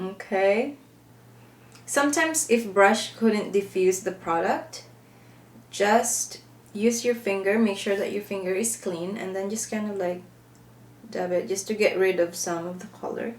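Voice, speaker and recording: Speaking with a Filipino accent, a woman keeps a medium pitch and ordinary pitch variation. Her pace is fairly slow, with long, frequent pauses. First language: Filipino (Hiligaynon/Ilonggo, Tagalog). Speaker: makeup vlogger. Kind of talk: makeup tutorial. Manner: casual, chatty with some searching for words.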